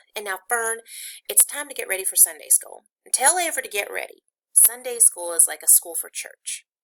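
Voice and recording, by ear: In quiet surroundings, someone reads aloud in a natural voice.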